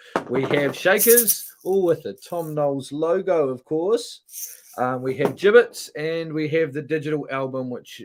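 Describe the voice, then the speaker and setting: A man talks with a New Zealand accent. His intonation is lively. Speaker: musician. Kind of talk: live stream hosting. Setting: online live stream. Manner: hesitant, many fillers.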